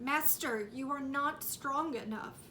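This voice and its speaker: A woman's put-on character voice, high-pitched, with fairly even intonation, a fairly slow pace and clear background noise. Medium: read story. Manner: impatient.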